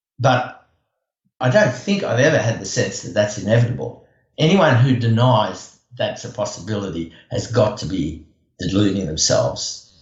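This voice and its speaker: With audible room echo, a man speaks at medium pitch and a moderate pace, showing vocal fry and lively intonation. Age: 70s. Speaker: environmental activist. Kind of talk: interview. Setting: podcast. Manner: hesitant, many fillers.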